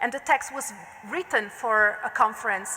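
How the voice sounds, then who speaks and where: Speaking at a moderate pace in an Italian accent, a woman is heard with audible room echo and noticeable background noise. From Italy. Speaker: art historian. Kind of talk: lecture. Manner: formal.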